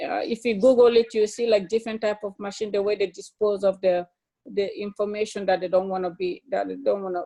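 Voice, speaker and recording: A woman's medium-pitched voice with a dark, mellow tone and a non-native accent, fairly even intonation and a fairly quick pace. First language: not English. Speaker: study group member. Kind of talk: casual discussion. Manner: halting, many fillers.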